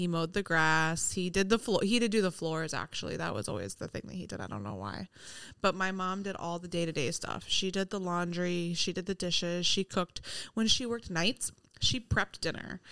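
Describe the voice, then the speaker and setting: A woman's bright, sharp tone at a fairly low pitch, fairly quick pace, and ordinary pitch variation, on a very clean recording with a silent background. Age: 30s. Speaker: nurse, host's pregnant wife. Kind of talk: casual chat. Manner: low-key, not exuberant.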